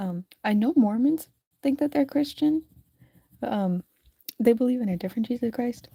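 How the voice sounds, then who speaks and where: The woman speaks at a moderate pace and sounds somewhat breathy. The sound is dry and close with no echo, and her pitch varies in an ordinary way. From US. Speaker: streamer and digital artist. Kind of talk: casual live stream chat while drawing. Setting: live stream. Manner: casual, halting.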